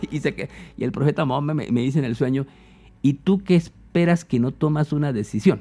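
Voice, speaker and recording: Moving at a fairly quick pace, this speaker has a dark, mellow tone and ordinary pitch variation. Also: man, fairly high pitch for a man. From Colombia, eastern plains (Meta). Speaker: philosopher and imam. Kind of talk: interview conversation.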